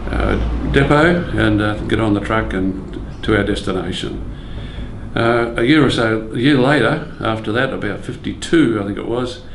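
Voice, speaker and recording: With an Australian accent, a man speaks at a moderate pace over noticeable background noise. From Brisbane, Australia. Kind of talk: oral history interview recollection.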